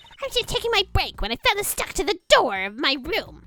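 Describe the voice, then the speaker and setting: In a put-on character voice, a woman talks at a fairly quick pace with an extremely high pitch and very wide pitch swings. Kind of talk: comic overacting. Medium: game stream. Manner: rapid, gushing, self-absorbed.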